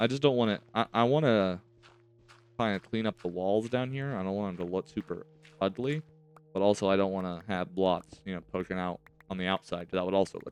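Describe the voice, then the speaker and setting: A man's fairly low voice at a fairly quick pace, with ordinary pitch variation and big swings in loudness, dry and close with no echo, over music in the background. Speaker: gaming youtuber. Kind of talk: gameplay commentary.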